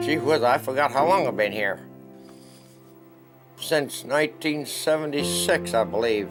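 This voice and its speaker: Over music in the background, a man with an American accent talks at a fairly slow pace, using lively intonation and long, frequent pauses. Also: medium pitch for a man. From Oklahoma. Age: 80s+. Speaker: war veteran. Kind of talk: interview answer.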